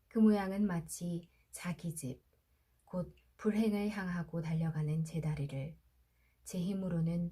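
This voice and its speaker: Somewhat breathy and fairly low-pitched, a woman speaks at a very slow pace with fairly even intonation. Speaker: audiobook narrator. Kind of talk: sleep story. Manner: soft-spoken, slow.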